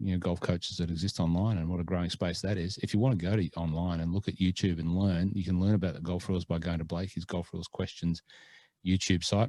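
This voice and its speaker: This man has a very deep, low voice and an Australian accent, moving at a fairly quick pace. His intonation stays fairly even, and the sound is dry and close with no echo. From Australia (born Scotland). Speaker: podcast co-host. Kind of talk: casual chat. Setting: remote call.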